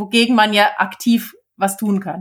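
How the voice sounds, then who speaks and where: At a fairly slow pace, a woman speaks with a fairly high pitch. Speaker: podcast co-host, author. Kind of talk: casual chat.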